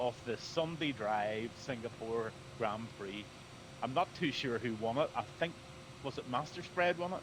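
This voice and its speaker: Noticeable background noise sits behind a man with a medium-pitched voice. He talks fairly slowly with lively intonation. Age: 60s. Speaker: flight sim streamer. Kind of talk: casual chat.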